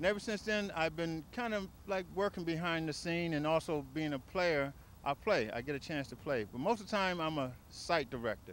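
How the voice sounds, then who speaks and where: Speaking at a moderate pace, a man has a fairly high pitch. His pitch varies in an ordinary way. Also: dry sound with no echo. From Washington. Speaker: tennis site director. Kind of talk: interview testimony; interview answer. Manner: halting. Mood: warm, proud. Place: open country. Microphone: handheld.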